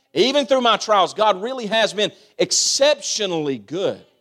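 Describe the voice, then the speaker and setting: A man's high-pitched voice with a Kentucky accent at a moderate pace, on a very clean recording with a silent background. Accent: Kentucky Southern US. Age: 30s. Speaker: pastor. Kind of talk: sermon. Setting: church. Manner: animated.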